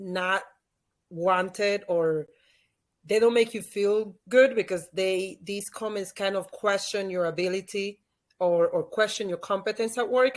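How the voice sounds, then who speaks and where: A woman's voice, with ordinary pitch variation, comes through on a very clean recording with a silent background. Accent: Spanish. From Dominican Republic. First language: Spanish. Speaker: author and leadership expert. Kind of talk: interview.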